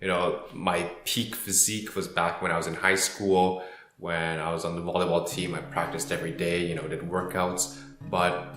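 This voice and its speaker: Music plays behind a man with a very deep, low voice and a Canadian accent. The room echo is audible, and his pitch variation is ordinary. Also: moderate pace. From Canada. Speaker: personal finance youtuber. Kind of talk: casual vlog talk. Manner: hesitant, many fillers.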